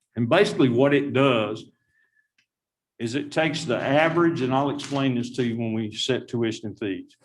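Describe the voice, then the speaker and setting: A man talks in a plain, everyday voice. His pitch is medium, his pace moderate and his pitch variation ordinary. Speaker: university finance administrator. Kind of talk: board meeting presentation.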